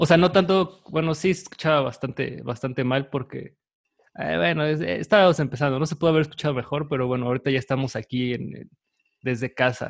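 With a Mexican accent, a man talks at a very fast pace in a fairly high pitch with ordinary pitch variation. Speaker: podcast host. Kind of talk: casual chat. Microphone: new microphone.

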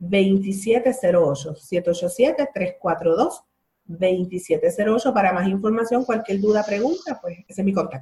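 A woman speaks very slowly at a medium pitch, her tone dark and mellow. Her voice is somewhat breathy, with lively intonation. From Puerto Rico, Bayamón. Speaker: breastfeeding support group leader. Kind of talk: casual interview.

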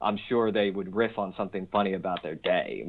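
A man with an American accent speaks at a fairly low pitch, keeping his intonation fairly even. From Philadelphia, US. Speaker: stand-up comedian. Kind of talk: casual interview. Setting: phone call.

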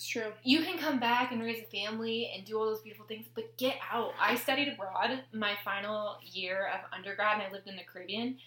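Speaking with an American accent, a woman talks fairly quickly at a fairly high pitch, with ordinary pitch variation, big swings in loudness and hardly any pauses, over noticeable background noise. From US Pacific Northwest (Tacoma, Washington). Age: 20s. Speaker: podcast host, chiropractic student. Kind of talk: casual chat.

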